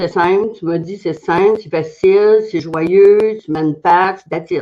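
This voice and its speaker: A woman's medium-pitched voice with a Quebec accent, fairly even intonation and a very slow pace. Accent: Québécois French. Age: 70s. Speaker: testimonial giver, network marketer. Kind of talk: testimony.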